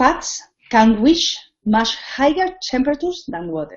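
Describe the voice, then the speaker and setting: A woman's high, very slow voice with very wide pitch swings and a Spanish accent. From Spain. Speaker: cooking teacher. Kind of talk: tutorial. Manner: halting.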